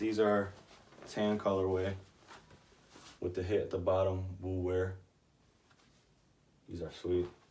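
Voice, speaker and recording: Speaking at a fairly slow pace with long, frequent pauses, a man uses a very deep, low pitch and a monotone, flat intonation, his tone dark, mellow and somewhat breathy, with audible room echo. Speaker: vintage clothing reseller. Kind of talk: casual show-and-tell vlog. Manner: casual, filler-heavy.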